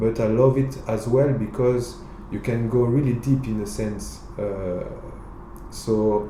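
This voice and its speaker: Audible room echo surrounds a man speaking with a French accent. He goes at a very slow pace with fairly even intonation. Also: medium pitch for a man. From France (Bordeaux, southwest). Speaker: reggae singer. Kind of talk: interview. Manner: halting, many fillers.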